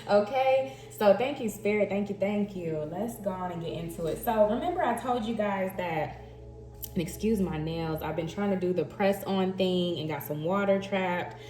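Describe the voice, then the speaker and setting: A woman with a slight Southern US accent speaks at a moderate pace and medium pitch with ordinary pitch variation, with music in the background and audible room echo. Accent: slight Southern twang. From Texas, Dallas. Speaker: tarot reader. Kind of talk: intuitive tarot reading, casual chat. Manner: chatty, animated.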